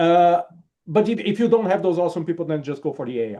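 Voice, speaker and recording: A man's dark, mellow tone with a non-native accent, a fairly quick pace and ordinary pitch variation. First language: not English. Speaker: security conference reviewer. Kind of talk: webinar panel talk.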